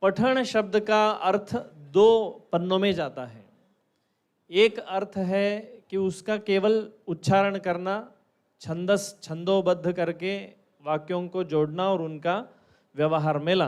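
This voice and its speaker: A man speaks at a high pitch and a very slow pace, with a Kannada accent. He leaves long, frequent pauses, and the recording is very clean with a silent background. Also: ordinary pitch variation. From Karnataka, India. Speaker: ayurveda teacher, workshop speaker. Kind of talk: lecture.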